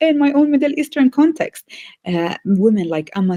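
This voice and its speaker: A woman at a fairly quick pace, with a dark, mellow tone, very wide pitch swings and a dry, close sound with no echo. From Bethlehem, Palestine. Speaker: theology professor. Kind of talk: interview answer.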